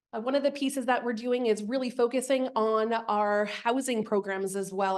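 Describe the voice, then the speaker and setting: At a fairly quick pace, a woman speaks with a fairly high pitch and fairly even intonation against a quiet background. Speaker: community action program leader. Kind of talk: speech at annual meeting. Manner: loud.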